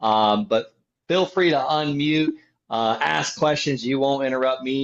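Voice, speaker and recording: A man of medium pitch speaks with a slight Southern US accent and ordinary pitch variation. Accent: slight Southern drawl. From Florida (Okeechobee). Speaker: land investor. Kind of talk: podcast interview.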